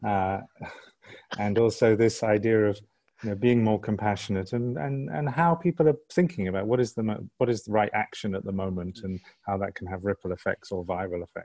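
A man speaks fairly quickly at a fairly low pitch, his tone dark and mellow with lively intonation. The sound is dry and close with no echo, over a quiet background. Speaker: Q&A host. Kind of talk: online Q&A. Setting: video call.

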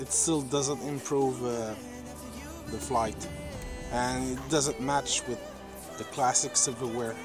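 Clear music plays in the background as a man speaks very slowly, with long, frequent pauses. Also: dry sound with no echo. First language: French. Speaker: drone hobbyist vlogger. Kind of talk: casual vlog talk to camera. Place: forest. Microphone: phone near.

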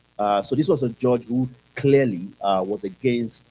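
Over light background noise, a man speaks with a dark, mellow tone. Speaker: panelist. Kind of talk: panel discussion answer. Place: hall.

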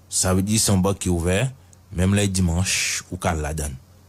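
A man speaks at a fairly slow pace. His fairly low voice is somewhat breathy. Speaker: news commentator. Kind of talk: news commentary.

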